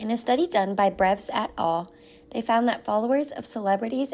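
A woman talks at a fairly quick pace with lively intonation. Hers is an unremarkable speaking voice. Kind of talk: scripted narration. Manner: formal.

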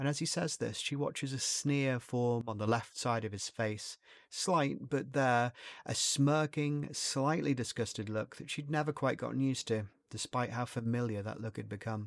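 Using an ordinary speaking voice, a man talks at a moderate pace and a medium pitch with ordinary pitch variation. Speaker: narrator and creator of the short story. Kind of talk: horror audiobook narration, read aloud as a scripted short story.

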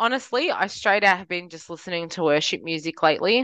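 A woman with an Australian accent talks in a bright, sharp tone with lively intonation over a quiet background. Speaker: podcast co-host. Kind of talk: casual chat.

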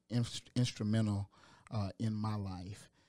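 The voice has a dark, mellow tone and monotone, flat intonation, with a Georgia accent. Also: man. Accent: Southern American (Georgia). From US South, Augusta, Georgia. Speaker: hospital chaplain and pastor. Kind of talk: casual interview. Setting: studio.

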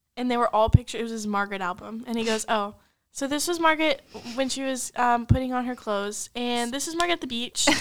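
Pitch varies normally as the words pour out extremely fast. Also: woman, high pitch for a woman. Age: 20s. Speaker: podcast host. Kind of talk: casual chat. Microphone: sharing one microphone, faces close.

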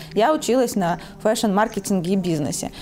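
A woman of medium pitch talks at a moderate pace against noticeable background noise. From Belarus. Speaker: clothing brand owner. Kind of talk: interview.

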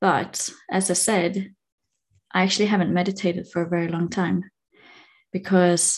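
A woman speaks in a calm tone at a moderate pace, her fairly low voice slightly mellow and moving little in pitch.

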